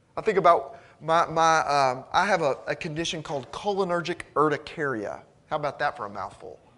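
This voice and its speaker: This man has a fairly high pitch and a bright, sharp tone with vocal fry. He talks at a fairly quick pace with ordinary pitch variation. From Arkansas. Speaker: preacher. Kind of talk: sermon.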